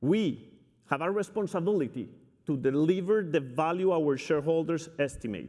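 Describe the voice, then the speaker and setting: A man with a Spanish accent speaks at a moderate pace and a fairly high pitch. His tone is dark and mellow, and his intonation is lively. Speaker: company CEO. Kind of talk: keynote speech. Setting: stage with audience. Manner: energetic.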